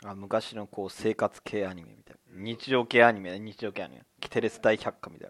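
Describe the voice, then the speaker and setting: Fairly low in pitch, a man speaks at a fairly quick pace in a monotone, flat way, his loudness swinging widely. The sound is dry and close with no echo, on a very clean recording with a silent background. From Tokyo, Higashimurayama. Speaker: podcast co-host. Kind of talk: casual chat.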